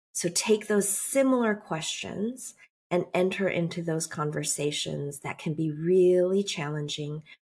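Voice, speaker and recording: Somewhat breathy, a woman with a General American accent speaks very slowly at a fairly low pitch, her intonation lively. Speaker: writer and speaker. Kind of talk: interview. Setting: studio.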